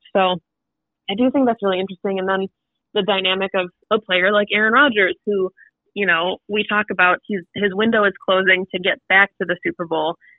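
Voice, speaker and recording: Speaking fairly quickly with fairly even intonation, a woman uses an ordinary speaking voice at medium pitch. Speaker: podcast co-host. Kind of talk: casual chat.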